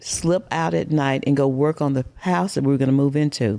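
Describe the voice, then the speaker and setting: In a Southern US accent, a woman speaks at a moderate pace with a very deep, low pitch, ordinary pitch variation and a dark, mellow tone. The recording is very clean, with a silent background. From US South, Mississippi. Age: 60s. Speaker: podcast guest. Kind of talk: casual interview.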